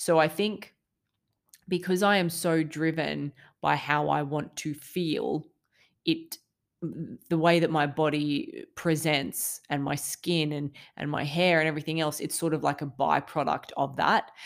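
A woman in an Australian accent with a very deep, low pitch, fairly even intonation and a fairly slow pace, on a very clean recording with a silent background. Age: 30s. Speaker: mental health podcaster. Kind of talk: casual monologue. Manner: hesitant with fillers.

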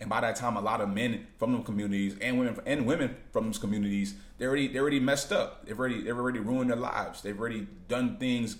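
Audible room echo surrounds a man at medium pitch who speaks at a very fast pace with ordinary pitch variation. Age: 30s. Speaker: vlogger. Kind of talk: casual monologue. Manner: halting.

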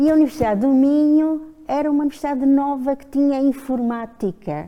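A woman's dark, mellow voice at a fairly slow pace. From Azores (Pico). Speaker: retired professor, historical demographer. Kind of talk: casual chat.

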